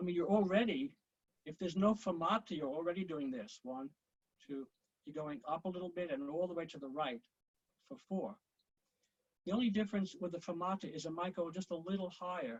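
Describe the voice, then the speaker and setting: A man's high-pitched voice with lively intonation, a moderate pace and long, frequent pauses. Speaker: conducting teacher. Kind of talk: online conducting lesson. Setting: video call. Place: home room. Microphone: video call.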